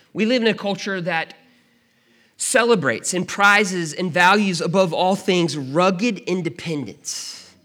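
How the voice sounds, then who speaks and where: A man speaks in a raised, projected voice at a high pitch. He goes at a fairly slow pace with ordinary pitch variation. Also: very clean recording, silent background. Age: 30s. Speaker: pastor. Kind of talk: sermon. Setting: church.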